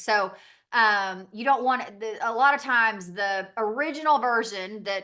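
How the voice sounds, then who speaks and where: Set against a quiet background, a woman with a Southern accent speaks at a fairly slow pace in a bright, sharp tone, her fairly high voice carrying lively intonation. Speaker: direct sales business owner. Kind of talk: training call presentation. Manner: casual, filler-heavy.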